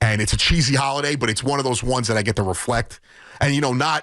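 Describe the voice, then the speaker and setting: Man with an American accent, medium-pitched, with ordinary pitch variation and a very fast pace. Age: 30s. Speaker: sports radio host. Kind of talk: on-air monologue. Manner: casual, filler-heavy.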